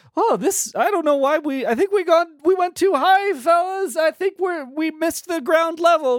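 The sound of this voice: A put-on character voice, extremely high in pitch, moves at a fairly slow pace.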